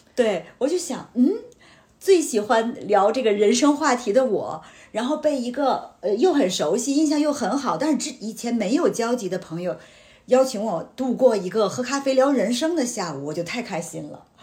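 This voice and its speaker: With very wide pitch swings, a woman talks at a high pitch and a moderate pace in a dark, mellow tone. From Tianjin, China. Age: 40s. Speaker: insurance agent, former media professional. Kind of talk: casual chat.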